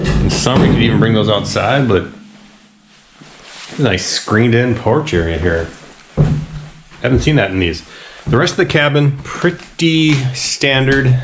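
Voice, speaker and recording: A man at a medium pitch talks at a moderate pace, with very wide pitch swings and long, frequent pauses. Noticeable background noise and audible room echo come through. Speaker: outdoor vlogger. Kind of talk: casual vlog narration.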